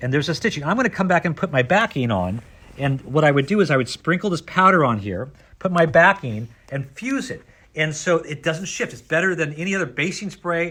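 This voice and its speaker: A loud man at a fairly high pitch with a bright, sharp tone and vocal fry, animated and lively in intonation at a fairly quick pace, on a very clean recording with a silent background. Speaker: sewing store owner demonstrating products. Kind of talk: product demonstration.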